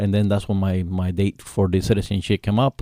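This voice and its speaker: With a Spanish accent and a dark, mellow tone, the speaker goes at a very fast pace, in a dry, close sound with no echo on a very clean recording with a silent background. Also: man. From Cuba. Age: 50s. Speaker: author and Navy veteran. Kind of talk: radio interview. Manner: halting, many fillers.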